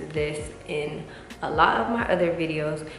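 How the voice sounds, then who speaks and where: A woman with a very deep, low voice speaks over noticeable background noise, with audible echo in the room. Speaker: beauty vlogger. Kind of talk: casual vlog talk to camera. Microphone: usual echo when recording.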